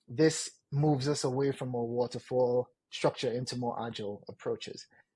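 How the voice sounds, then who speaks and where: A man's somewhat breathy, dark and mellow voice at medium pitch, moderate pace and fairly even intonation, over a quiet background. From Trinidad and Tobago. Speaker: product manager. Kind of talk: interview.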